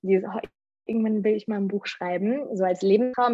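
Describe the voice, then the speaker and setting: In a quiet background with a dry, close sound and no echo, a woman talks at a moderate pace and medium pitch in an ordinary speaking voice. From Germany. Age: 20s. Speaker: radio presenter and author. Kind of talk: interview.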